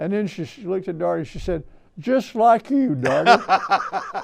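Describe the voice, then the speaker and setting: In a very clean recording with a silent background, a man speaks with an Alabama accent. His pace is fairly slow. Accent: Southern US (Alabama). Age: 80s+. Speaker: historian and author. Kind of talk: interview storytelling.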